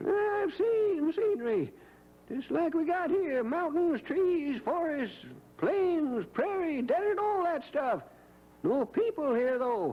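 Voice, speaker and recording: An extremely high-pitched, put-on character voice talks at a fairly slow pace. Light background noise can be heard. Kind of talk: 1950s radio acting. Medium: old radio play. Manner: folksy, rambling.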